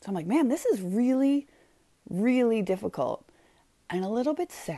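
This woman has a fairly high pitch and a dark, mellow tone, her voice making very wide pitch swings between long, frequent pauses. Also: moderate pace. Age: 40s. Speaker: podcast host. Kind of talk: solo monologue. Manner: casual, with fillers.

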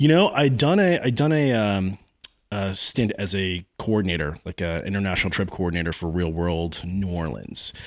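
Speaking at a moderate pace, a man with a very deep, low pitch uses lively intonation. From New Jersey, Freehold. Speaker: TV producer and showrunner. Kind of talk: casual interview. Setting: at the guest's home.

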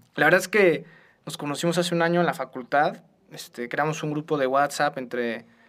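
A man with a plain, everyday voice talks fairly quickly at a fairly high pitch, with ordinary pitch variation. The recording is very clean and the background silent. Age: 20s. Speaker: law student, youth charity co-president. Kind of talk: casual chat.

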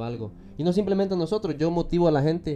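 A man with a dark, mellow tone speaks at a very fast pace with lively intonation. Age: 20s. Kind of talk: interview.

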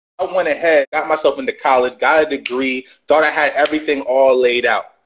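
His fairly high voice holds a fairly even intonation. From Brooklyn, New York. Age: 30s. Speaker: motivational speaker and author. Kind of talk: casual interview on livestream.

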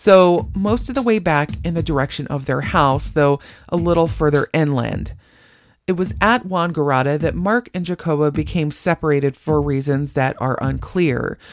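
This woman's voice is very deep and low in pitch. She talks at a moderate pace in an animated tone. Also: ordinary pitch variation. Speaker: true crime podcast host. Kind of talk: true-crime narration with dark humor, scripted storytelling. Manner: wry, animated, conversational; steady, measured storyteller pace.

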